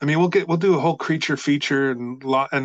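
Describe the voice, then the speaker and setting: Against a quiet background, a man in a plain, everyday voice speaks at a fairly high pitch with ordinary pitch variation. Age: 50s. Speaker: actor and voiceover artist. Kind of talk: casual chat.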